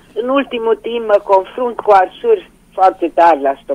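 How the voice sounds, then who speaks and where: A woman at medium pitch and a moderate pace, with a dry, close sound with no echo and noticeable background noise. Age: 70s. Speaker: caller. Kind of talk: call-in question.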